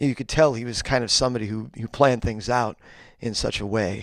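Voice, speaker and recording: Very fast speech from a man with an American accent, medium in pitch and fairly even in intonation, in a very clean recording with a silent background. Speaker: singer. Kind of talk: interview. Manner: halting, many fillers and repeats.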